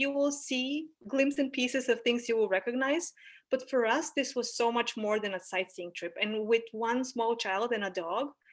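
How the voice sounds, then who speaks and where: A woman talks with a Bulgarian accent. Her pace is moderate. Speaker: anthropologist. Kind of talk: presentation. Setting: video call.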